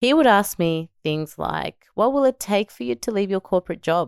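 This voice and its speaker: An upbeat, enthusiastic woman with an Australian accent talks at a moderate pace with lively intonation, the recording very clean with a silent background and a dry, close sound with no echo. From Melbourne, Australia. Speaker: podcast host and entrepreneur mother. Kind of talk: solo podcast monologue.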